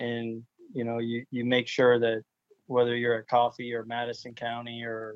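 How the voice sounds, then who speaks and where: This is a man's voice at a medium pitch. He talks at a moderate pace. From Florida. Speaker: high school football coach. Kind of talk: interview.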